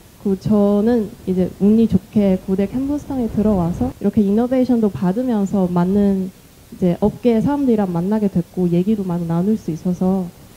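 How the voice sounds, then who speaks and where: At a moderate pace, a dark, mellow, somewhat breathy voice with a non-native accent shows ordinary pitch variation. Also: woman, medium pitch for a woman. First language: not Korean (speaking Korean). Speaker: startup founder. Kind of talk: panel discussion. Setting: stage with audience.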